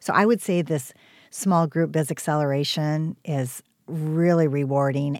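In a very clean recording with a silent background and dry, close sound with no echo, a woman with a very deep, low pitch speaks at a fairly slow pace with fairly even intonation. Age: 60s. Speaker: business coach. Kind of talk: casual chat.

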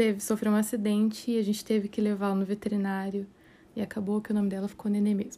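The voice has a dark, mellow tone, captured in a very clean recording against a silent background. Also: woman. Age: 20s. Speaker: podcast host, aspiring astrophysics student. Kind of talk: casual monologue.

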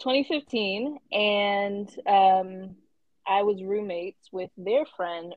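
With an animated tone, a woman speaks at a medium pitch and ordinary pitch variation. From Atlanta, Georgia. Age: 20s. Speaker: podcast host. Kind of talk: casual chat. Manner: animated, laughing often.

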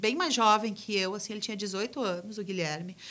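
Over a very clean recording with a silent background, a woman speaks in a bright, sharp tone. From Gramado, Rio Grande do Sul, Brazil. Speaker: rock band singer. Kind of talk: casual interview.

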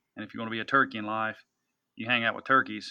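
A man speaks with a Tennessee accent. His intonation is monotone and flat. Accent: US Southern (Tennessee). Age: 40s. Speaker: hunting industry executive and farmer. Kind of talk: interview conversation. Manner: hesitant, many fillers and repetitions.

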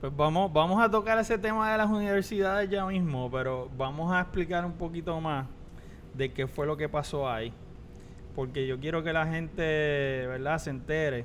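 A man, fairly high in pitch, at a moderate pace, a normal speaking voice. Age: 40s. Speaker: podcast co-host. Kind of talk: casual chat.

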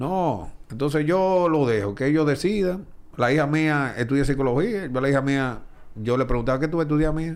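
A man talks at a fairly high pitch and moderate pace, with ordinary pitch variation and very even loudness. Audible room echo surrounds the voice. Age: 40s. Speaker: baseball broadcaster. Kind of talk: casual interview.

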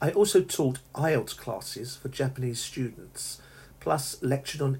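A man speaks at a moderate pace with a southern English accent. His medium-pitched voice is somewhat breathy. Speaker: English teacher. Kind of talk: solo podcast monologue. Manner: halting.

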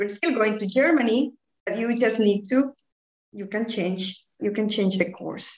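A woman with a Spanish accent at a fairly slow pace. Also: fairly high pitch for a woman, ordinary pitch variation. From Bolivia. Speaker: executive coach.

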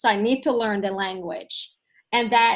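A woman with a Finnish accent speaks at a fairly high pitch with fairly even intonation against a quiet background. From Sweden. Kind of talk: casual interview chat. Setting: video call.

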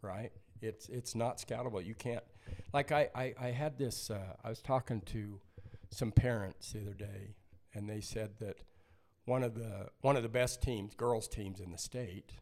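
A man with a plain, everyday voice speaks at a medium pitch and a moderate pace, his intonation fairly even but his loudness swinging widely. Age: 60s. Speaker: basketball coach and company founder. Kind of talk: casual chat.

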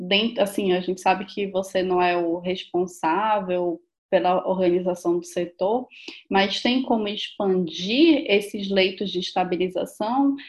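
Talking in a Brazilian accent, a woman keeps a very slow pace. Her medium-pitched voice shows ordinary pitch variation. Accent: non-São Paulo Brazilian. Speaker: doctor, podcast co-host. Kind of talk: interview.

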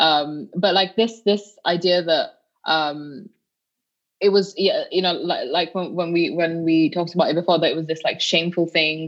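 Her intonation fairly even, a woman with a fairly low pitch speaks at a moderate pace in a West Yorkshire accent. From northern England, Bradford. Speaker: activist. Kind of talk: podcast interview. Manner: halting, many repeated words.

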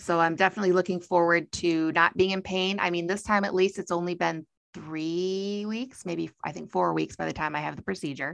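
With an American accent, a woman with an unremarkable speaking voice talks at a fairly quick pace in a fairly low pitch, her intonation fairly even over a quiet background. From US Midwest (Michigan). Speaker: podcast host. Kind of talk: casual chat.

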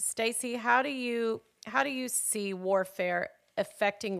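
This woman's pitch moves up and down by an ordinary amount. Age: 50s. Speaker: podcast host. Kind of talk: interview on faith. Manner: enthusiastic.

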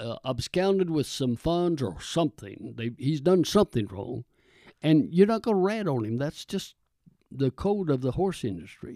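A man with a Texan accent speaks at a moderate pace, his fairly high pitch swinging very widely in a dark, mellow tone. The recording is very clean and silent behind him, with a dry, close sound and no echo. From Texas. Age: 80s+. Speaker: retired pastor. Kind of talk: casual interview.

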